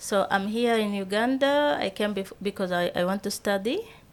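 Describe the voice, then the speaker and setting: A woman with a Sudanese accent, medium-pitched, at a fairly slow pace. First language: Arabic. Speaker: entrepreneur. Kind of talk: interview. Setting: studio. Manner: halting.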